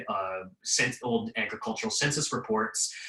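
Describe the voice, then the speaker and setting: A man talks at a fairly slow speed, with noticeable noise in the background. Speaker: history professor. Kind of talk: webinar presentation. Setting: video call.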